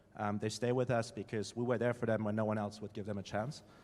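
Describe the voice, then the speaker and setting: Someone with a German accent talks at a very fast pace in a monotone, flat intonation. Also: man. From Germany. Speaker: startup founder. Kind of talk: panel discussion.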